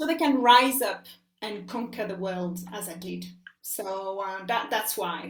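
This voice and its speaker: A woman with a French accent speaks at a medium pitch and a fairly slow pace, her loudness swinging widely and her pitch varying in an ordinary way, with audible room echo. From France. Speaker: life coach. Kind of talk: interview. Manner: hesitant, many fillers.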